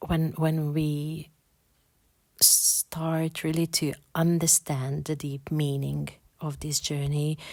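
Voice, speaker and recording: A woman with a non-native accent and a very deep, low pitch speaks at a very slow pace in a monotone, flat intonation with long, frequent pauses, in a very clean recording with a silent background. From Hungary. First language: Hungarian. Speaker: podcast host, spiritual. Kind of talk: spiritual podcast monologue. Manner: halting, many repetitions and fillers.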